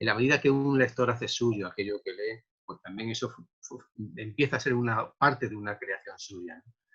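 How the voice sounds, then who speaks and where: A man speaks at a moderate pace with a medium pitch and a bright, sharp tone. His loudness swings widely, while his pitch variation stays ordinary. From Andalusia, Córdoba (Spain). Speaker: poet. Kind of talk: interview. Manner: halting, many repetitions.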